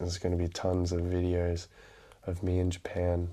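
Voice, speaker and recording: A man speaks in a very deep, low voice with a dark, mellow tone, quiet and somewhat breathy. His pace is moderate. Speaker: book vlogger. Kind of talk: casual vlog talk. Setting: indoors at night, mother in next room. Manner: quiet, keeping voice down at midnight.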